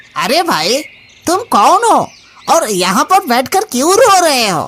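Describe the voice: In a cartoonish character voice, the speaker goes at a moderate pace with a high pitch and very wide pitch swings.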